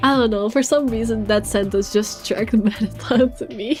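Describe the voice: Someone reads a passage aloud. The reading is plain.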